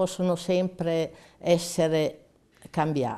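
A woman speaks with a dark, mellow tone. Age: 80s+. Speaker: war veteran. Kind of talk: testimony.

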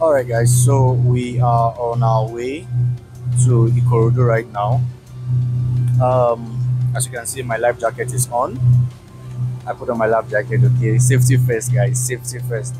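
A man speaks at a moderate pace with long, frequent pauses. Loud music plays in the background, and the sound is dry with no echo. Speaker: travel vlogger. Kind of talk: casual vlog chat. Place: boat. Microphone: lapel.

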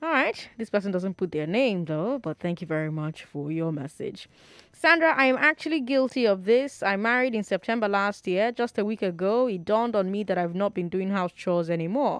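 A woman with a Nigerian accent talks fairly quickly in an animated tone, her pitch swinging very widely. The sound is dry with no echo, and the background is quiet. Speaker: radio talk show host. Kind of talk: radio call-in show. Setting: studio. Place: studio. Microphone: studio mic.

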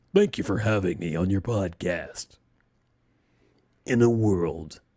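A man puts on a character voice, pitched fairly low. He talks at a fairly slow pace. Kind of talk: announcer.

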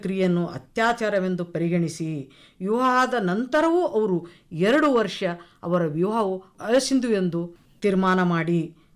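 In an ordinary speaking voice, a woman talks at a medium pitch with lively intonation. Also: very even loudness. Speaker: retired lecturer, program compere. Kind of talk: radio panel discussion.

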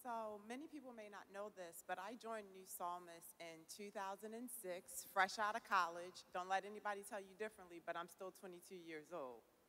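A woman speaks at a medium pitch and a fairly quick pace, with few pauses and ordinary pitch variation. Her tone is bright and sharp.

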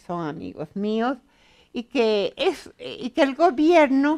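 The voice goes at a very slow pace with very wide pitch swings. The background is quiet. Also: woman. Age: 60s. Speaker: author and pedagogue; interviewee. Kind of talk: interview. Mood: warm, reflective. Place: studio.

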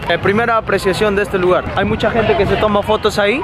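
There is noticeable background noise behind a man talking. The sound is dry, with no echo. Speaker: vlogger. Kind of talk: casual vlog chat. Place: street. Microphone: phone near.

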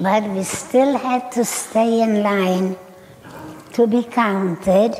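Very slow speech from a woman, with ordinary pitch variation over light background noise. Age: 80s+. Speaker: Holocaust survivor. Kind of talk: personal testimony to live audience. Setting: auditorium stage. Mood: calm, somber recounting. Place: stage.

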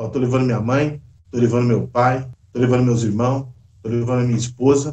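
A man's dark, mellow voice, somewhat breathy, at a medium pitch, in a monotone with flat intonation. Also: fairly quick pace. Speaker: bus driver. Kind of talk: interview answer. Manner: casual, conversational.

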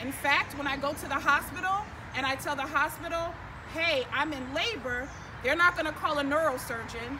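Over noticeable background noise, a woman in a raised, projected voice talks at a fairly quick pace with ordinary pitch variation. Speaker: activist spokesperson. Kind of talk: press conference statement. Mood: earnest, critical. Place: street. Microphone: podium.

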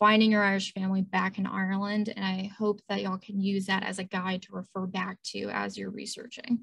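A woman speaks at a moderate pace in a somewhat breathy voice over a quiet background. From Louisiana. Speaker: librarian. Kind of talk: lecture. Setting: video call. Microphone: video call.

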